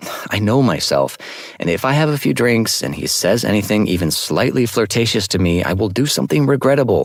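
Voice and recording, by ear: The lively intonation stands out as the text is read aloud in a natural voice.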